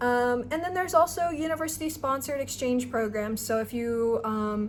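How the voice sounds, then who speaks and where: A woman's ordinary speaking voice, fairly high pitched, with ordinary pitch variation and a moderate pace. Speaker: student researcher and vlogger. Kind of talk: tutorial. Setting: abroad in Nepal. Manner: casual with many fillers.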